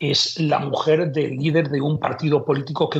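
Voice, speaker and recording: The voice belongs to a man. It sounds somewhat breathy. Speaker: legal commentator. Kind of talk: interview answer. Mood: critical, measured. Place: home room. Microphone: earbuds.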